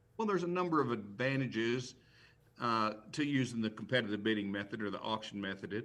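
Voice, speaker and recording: A man with an American accent has an unremarkable speaking voice, medium pitch and ordinary pitch variation. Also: fairly quick pace. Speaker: professional auctioneer and real estate auctioneer. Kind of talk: interview answer on a live news talk show.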